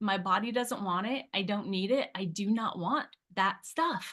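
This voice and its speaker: An animated, bright, sharp tone carries at a moderate pace. The background is quiet. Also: woman. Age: 50s. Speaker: weight loss product user sharing results. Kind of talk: testimony.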